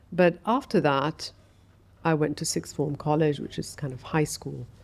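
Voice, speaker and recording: Using an English accent, a woman speaks at a very deep, low pitch with vocal fry, a moderate pace and ordinary pitch variation. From Saudi Arabia, moved to England at 13. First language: Arabic. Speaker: architect. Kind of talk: podcast interview. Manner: reflective, with frequent fillers.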